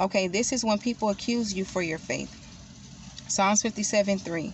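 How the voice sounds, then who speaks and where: A somewhat breathy woman at a fairly slow pace, with fairly even intonation, a dry sound with no echo and light background noise. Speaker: devotional vlogger. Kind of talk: scripture reading. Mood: calm, devotional. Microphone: phone near.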